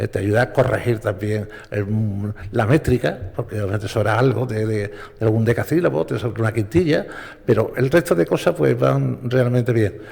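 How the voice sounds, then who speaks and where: A man with a fairly low voice talks fairly quickly with lively intonation over noticeable background noise. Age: 70s. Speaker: radio broadcaster. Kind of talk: panel talk. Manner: halting.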